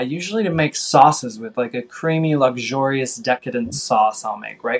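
A man with an American accent and an unremarkable speaking voice, medium in pitch, with ordinary pitch variation. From US Midwest. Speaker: vegan chef and cookbook author. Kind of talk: podcast interview.

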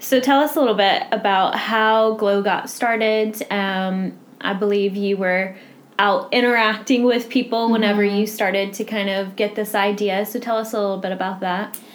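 A woman with a normal speaking voice talks at a moderate pace, fairly high in pitch and with fairly even intonation. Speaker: charity office manager and podcast interviewer. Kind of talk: casual interview.

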